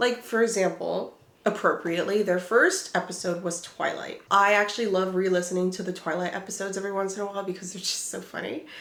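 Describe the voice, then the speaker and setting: Very fast, medium-pitched woman's speech with hardly any pauses, fairly even intonation, big swings in loudness and audible room echo. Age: 20s. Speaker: booktuber. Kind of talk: casual chat. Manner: casual, filler-heavy.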